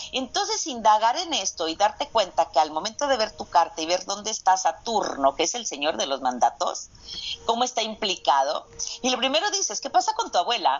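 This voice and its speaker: Over noticeable background noise, a woman speaks at a fairly high pitch and a fairly quick pace, with very wide pitch swings. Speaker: astrogenealogy specialist and physician. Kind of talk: interview conversation. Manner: halting, repeats words.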